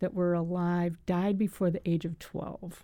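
On a very clean recording with a silent background, a woman speaks at a moderate pace in a dark, mellow tone. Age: 70s. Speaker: death cafe organizer, hospice volunteer. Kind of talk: radio interview. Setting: radio studio.

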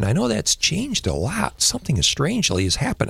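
A man with an American accent, vocal fry and very wide pitch swings. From rural northern Michigan, Leelanau County. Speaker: radio station staffer. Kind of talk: casual panel chat. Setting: studio.

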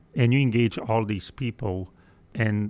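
A man with a Portuguese accent speaks at a fairly low pitch. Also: very clean recording, silent background. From Brazil. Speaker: aerospace engineering executive. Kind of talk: interview. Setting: studio.

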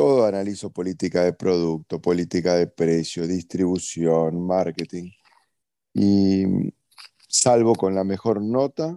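With a Uruguayan accent, a man speaks at a very deep, low pitch in a dark, mellow tone, with ordinary pitch variation and a fairly slow pace. The sound is dry and close, with no echo. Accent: Uruguayan Spanish (Rioplatense). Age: 40s. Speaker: entrepreneur. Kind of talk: interview.

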